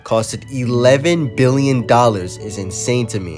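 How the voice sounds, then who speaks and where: Music plays in the background as a man speaks in a medium pitch. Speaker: transit video essayist. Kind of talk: video essay narration.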